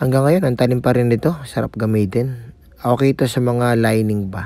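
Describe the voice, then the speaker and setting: A man talks at a moderate pace with a medium pitch. His tone is dark and mellow, with ordinary pitch variation. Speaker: barber vlogger. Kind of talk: tutorial. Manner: casual, filler-heavy.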